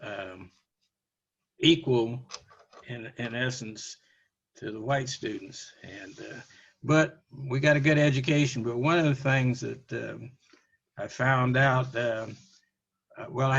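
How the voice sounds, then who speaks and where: A man speaks fairly slowly with an American accent at a medium pitch, pausing long and often. His voice is somewhat breathy, with fairly even intonation and big swings in loudness. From US Midwest, Canton, Missouri. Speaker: interviewee, college alumnus. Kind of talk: oral history interview. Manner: halting, many fillers.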